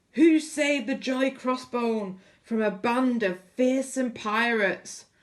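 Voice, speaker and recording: Using a put-on character voice, a woman projects a raised, high-pitched voice at a fairly slow pace. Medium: read story. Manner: loud, hearty.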